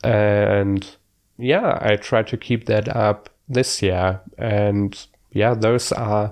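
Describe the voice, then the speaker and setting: With a German accent, the speaker keeps a fairly even intonation against a quiet background. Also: man. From Germany. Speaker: book vlogger. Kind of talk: casual vlog monologue. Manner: hesitant, many fillers.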